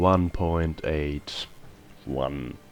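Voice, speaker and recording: A man's voice with music playing in the background. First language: not English. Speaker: gaming video creator. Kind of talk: gameplay commentary.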